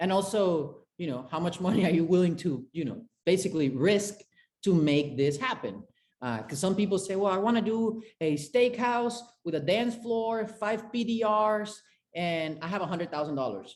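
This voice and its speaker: In a Spanish accent, a man with a high pitch talks at a moderate pace with lively intonation. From Venezuela, Caracas. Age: 20s. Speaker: chef and restaurant consultant. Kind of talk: interview.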